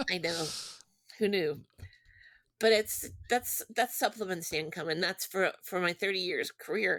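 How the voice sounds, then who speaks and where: A woman with an American accent speaks at a medium pitch and a moderate pace, taking long, frequent pauses, in a dry, close sound with no echo. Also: ordinary pitch variation, very clean recording, silent background. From Texas, Houston suburb. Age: 60s. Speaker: children's book author. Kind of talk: casual interview.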